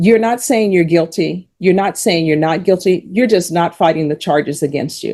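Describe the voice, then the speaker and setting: A woman with an American accent speaks at a moderate pace in a fairly low, dark, mellow voice with ordinary pitch variation. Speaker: judge. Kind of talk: court hearing.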